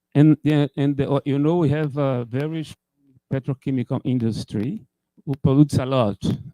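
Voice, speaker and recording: A man with a Portuguese accent talks at a moderate pace in a fairly high voice, dark and mellow in tone with fairly even intonation, recorded dry and close with no echo. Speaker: computer scientist. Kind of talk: conference talk. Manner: halting.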